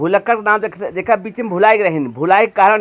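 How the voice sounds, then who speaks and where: This man's pitch is high. He talks at a moderate pace. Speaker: comedy video maker. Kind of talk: casual talk to camera.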